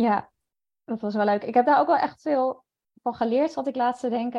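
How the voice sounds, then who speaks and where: A woman is speaking. Her pace is moderate. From Netherlands, near Zwolle. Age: 30s. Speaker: freelance journalist. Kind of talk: interview.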